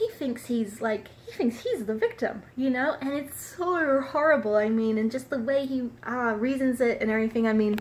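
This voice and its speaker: Speaking at a moderate pace with hardly any pauses, a woman uses a high pitch with ordinary pitch variation. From Australia. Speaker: book reviewer. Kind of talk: book review. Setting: traveling in San Diego. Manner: halting, many fillers.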